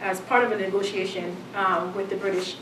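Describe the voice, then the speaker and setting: At a moderate pace, a woman talks over noticeable background noise, with audible room echo. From Jamaica. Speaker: professor. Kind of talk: lecture. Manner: reading from a prepared text with fillers.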